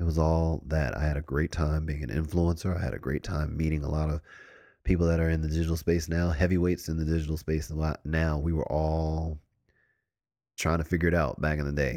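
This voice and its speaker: On a very clean recording with a silent background, a man speaks at a fairly quick pace. His voice is very deep and low, with ordinary pitch variation. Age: 40s. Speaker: podcast host. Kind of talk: casual monologue.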